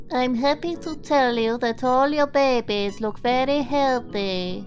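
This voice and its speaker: A woman does a cartoonish character voice, high-pitched and at a fairly slow pace. Clear music sounds in the background. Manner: calm, businesslike.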